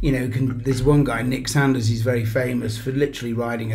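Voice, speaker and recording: Someone with an English accent speaks at a fairly quick pace, and the room echo is audible. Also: man. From England. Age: 60s. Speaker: business founder. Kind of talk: interview. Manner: animated.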